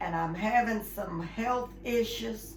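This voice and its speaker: A woman is speaking against noticeable background noise. Room echo is audible too. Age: 80s+. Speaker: role-play client. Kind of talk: role-play counseling intake.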